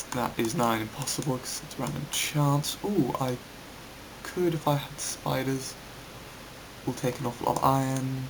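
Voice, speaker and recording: Quiet and at medium pitch, a man with a British accent speaks at a moderate pace with fairly even intonation and long, frequent pauses, amid audible room echo and noticeable background noise. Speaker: gaming YouTuber, game developer. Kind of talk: gameplay commentary. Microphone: voice sounds quiet.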